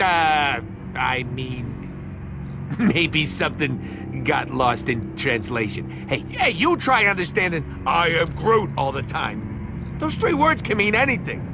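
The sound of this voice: A man drags out a put-on character voice at a slow pace and fairly high pitch, with big pitch swings and vocal fry over clear music in the background.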